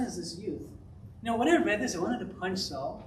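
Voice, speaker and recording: Speaking at a fairly quick pace, the voice makes very wide pitch swings, with audible room echo around it. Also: man. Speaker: pastor. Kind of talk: sermon. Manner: fast.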